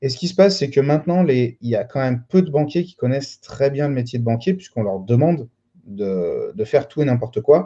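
With a dark, mellow tone, a man speaks at a fairly quick pace, somewhat breathy and fairly high in pitch. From France, Lyon. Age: 30s. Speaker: real estate dealer and trainer. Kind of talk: interview.

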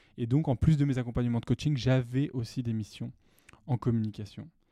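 Speaking at a fairly quick pace, a man with a medium-pitched voice and a dark, mellow tone keeps his intonation fairly even in a dry, close sound with no echo. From France, Lyon. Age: 20s. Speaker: podcaster. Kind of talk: personal storytelling monologue. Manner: hesitant, many fillers.

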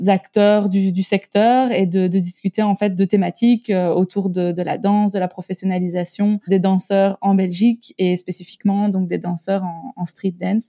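At a fairly slow pace, a woman speaks at medium pitch in a dark, mellow tone with monotone, flat intonation, and the sound is dry and close with no echo. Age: 30s. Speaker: hip-hop artist agency founder. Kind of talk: interview. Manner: hesitant, many fillers.

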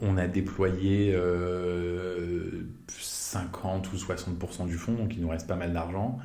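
A man's very deep, low voice, somewhat breathy with a dark, mellow tone, amid audible room echo. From France, Paris. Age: 30s. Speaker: venture capital investor. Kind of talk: interview. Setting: office. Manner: animated.

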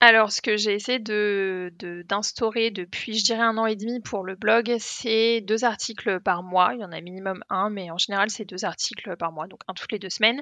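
Her bright, sharp tone at medium pitch carries fairly even intonation as the woman talks at a moderate pace with big swings in loudness. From Paris, France. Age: 20s. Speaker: travel YouTuber. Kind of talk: casual interview chat.

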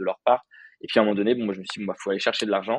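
Fairly even intonation marks this man's speech. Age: 20s. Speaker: content creator and freelancer. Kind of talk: casual interview. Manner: hesitant, many fillers.

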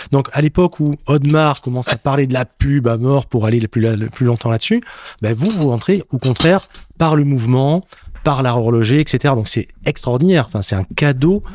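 This man has a medium pitch and ordinary pitch variation. He talks at a moderate pace in a dry, close sound with no echo. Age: 40s. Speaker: podcast host. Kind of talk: interview. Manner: animated.

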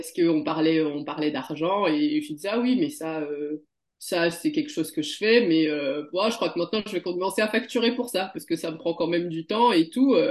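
Fairly low for a woman, an ordinary speaking voice moves at a fairly quick pace with lively intonation. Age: 30s. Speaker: former consultant turned beauty and wellness practitioner. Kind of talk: testimony.

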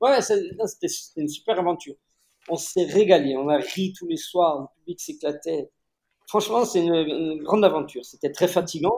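A dark, mellow tone in a man's high voice. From Corsica. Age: 50s. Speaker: actor, writer and film director. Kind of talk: casual interview.

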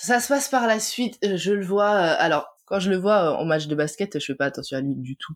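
A woman's medium-pitched voice with very wide pitch swings, a moderate pace and hardly any pauses. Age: 30s. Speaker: tax office worker and wife of a pro basketball player. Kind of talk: interview. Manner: hesitant, many fillers.

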